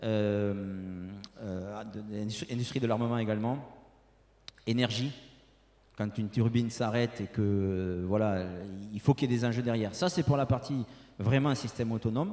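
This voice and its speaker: A man with a southern French accent, medium-pitched and dark, mellow in tone, at a moderate pace with ordinary pitch variation and long, frequent pauses. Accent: southern French (Toulouse). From Toulouse, southern France. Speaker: industrial technology sales representative. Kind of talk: conference presentation and Q&A. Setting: conference room with audience. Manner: hesitant, many fillers and repetitions.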